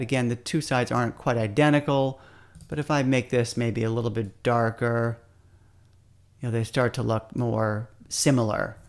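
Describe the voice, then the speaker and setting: A man speaks in an ordinary speaking voice at medium pitch, keeping a moderate pace. His intonation is fairly even, and the recording is very clean with a silent background. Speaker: photographer. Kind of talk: tutorial.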